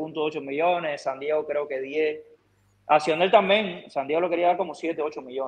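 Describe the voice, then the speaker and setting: A man with a Cuban accent at a fairly slow pace, fairly high in pitch, with ordinary pitch variation. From Camagüey, Cuba. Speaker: baseball pitcher; guest. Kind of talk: casual interview. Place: home room. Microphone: video call.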